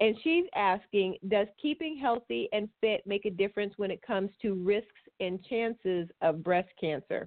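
An ordinary speaking voice from a woman, medium in pitch, at a moderate pace with lively intonation and hardly any pauses. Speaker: podcast host. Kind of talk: casual chat.

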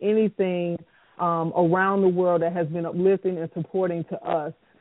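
With a plain, everyday voice, a woman speaks at a moderate pace in a medium pitch with fairly even intonation. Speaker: radio show host and producer. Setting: live radio broadcast.

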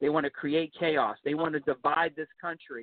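Moderate pace and fairly high pitch from a man with a plain, everyday voice. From Pittsburgh, Pennsylvania. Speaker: political candidate. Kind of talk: radio interview.

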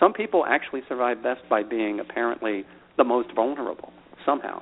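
Someone with a normal speaking voice and an American accent talks at a fairly quick pace with ordinary pitch variation. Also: man. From Philadelphia, US. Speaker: author and activist. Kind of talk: interview conversation.

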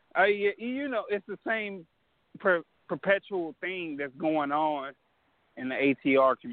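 Fairly slow in pace, a man speaks in a high pitch with very wide pitch swings. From Louisiana. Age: 20s. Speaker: caller. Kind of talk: call-in question.

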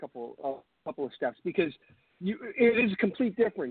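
This man talks at a moderate pace with an American accent. His intonation is lively. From New York, Long Island. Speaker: sports podcast co-host. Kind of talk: casual chat. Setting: online radio stream. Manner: a bit quiet.

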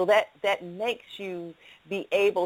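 This voice has an American accent. The speaker is a woman. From Atlanta, US South. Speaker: radio show host. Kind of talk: live radio interview. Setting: studio.

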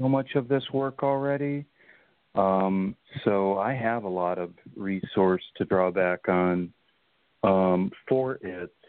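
Speaking at a very slow pace with long, frequent pauses, a man uses a fairly low pitch and ordinary pitch variation. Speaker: caller. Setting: phone call.

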